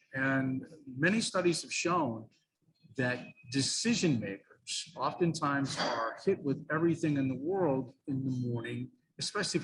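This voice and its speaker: This man has a plain, everyday voice pitched fairly high. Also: lively intonation, moderate pace. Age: 60s. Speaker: radio sales trainer. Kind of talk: interview.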